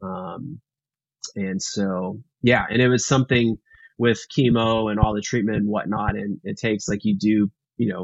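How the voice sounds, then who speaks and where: In an ordinary speaking voice, a man talks at a moderate pace. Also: fairly low pitch for a man, fairly even intonation. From Texas, Houston. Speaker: filmmaker. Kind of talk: interview.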